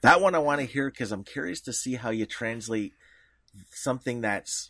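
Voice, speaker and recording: With a Canadian accent, a man talks at a moderate pace in a bright, sharp tone and lively intonation, in a very clean recording with a silent background. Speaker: podcast co-host. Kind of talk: casual interview chat.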